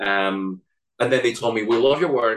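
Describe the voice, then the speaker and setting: A man speaks at a fairly quick pace with a Spanish accent, his pitch sitting in the medium range. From Spain. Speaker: animator. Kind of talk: interview.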